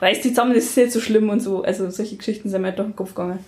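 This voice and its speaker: The woman's voice is somewhat breathy. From rural Germany. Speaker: interviewee. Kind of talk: casual conversation. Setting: home.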